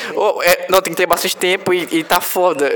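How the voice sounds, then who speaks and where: A man's intonation stays fairly even while noticeable background noise sits behind him. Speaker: podcast host. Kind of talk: casual chat.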